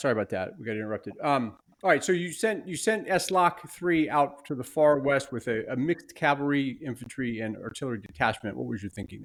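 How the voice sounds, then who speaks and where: Talking at a very fast pace with hardly any pauses, a man with an American accent uses a fairly high pitch, lively intonation and big swings in loudness. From United States. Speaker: podcast host and game umpire. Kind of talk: interview.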